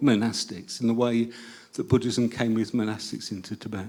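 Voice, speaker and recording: The speaker has an English accent and keeps a moderate pace. The recording is very clean, with a silent background. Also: man. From England. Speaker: audience member asking questions. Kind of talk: Q&A question at a public talk.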